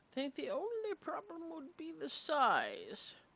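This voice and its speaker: A woman's put-on character voice at an extremely high pitch and a fairly slow pace. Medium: actual play. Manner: kindly, fussy, hooting.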